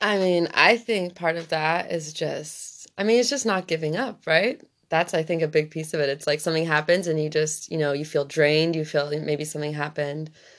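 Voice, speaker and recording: With hardly any pauses, a woman talks at a fairly quick pace in a very deep, low pitch. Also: ordinary pitch variation. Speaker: guest. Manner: shy.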